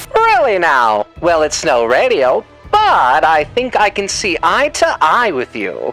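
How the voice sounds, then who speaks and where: With faint music in the background, someone does a put-on character voice at a middle pitch and a fairly slow pace. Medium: dub. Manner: theatrical, mocking.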